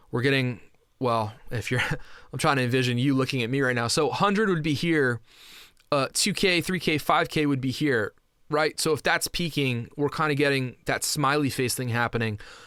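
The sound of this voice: At medium pitch and a moderate pace, a man speaks with a fairly bright, clear, smooth tone and ordinary pitch variation.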